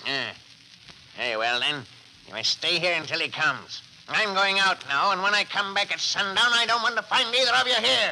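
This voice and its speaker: Over clear background noise, a man uses a put-on character voice, high in pitch and at a fairly quick pace. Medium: old radio play.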